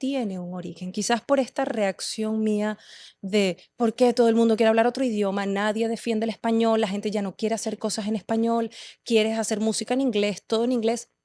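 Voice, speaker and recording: The voice is dark and mellow yet passionate and intense, moving at a fairly quick pace in a dry, close sound with no echo against a quiet background. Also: woman. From Venezuela, Caracas. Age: 30s. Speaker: poet and performer. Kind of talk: podcast interview. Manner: passionate, intense.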